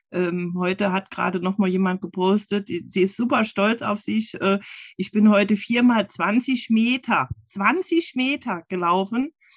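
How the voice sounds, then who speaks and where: A woman speaks in a plain, everyday voice at medium pitch, with ordinary pitch variation and a dry, close sound with no echo. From Saarland. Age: 40s. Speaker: running group admin. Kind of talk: casual interview.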